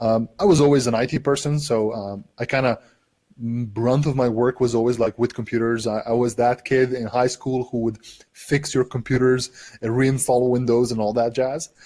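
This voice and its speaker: This man speaks at a medium pitch with a dark, mellow tone and a Serbian accent. His pace is moderate and his intonation fairly even. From Serbia, Subotica (north, near Hungarian border). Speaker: cloud developer advocate. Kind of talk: interview. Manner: hesitant, many fillers.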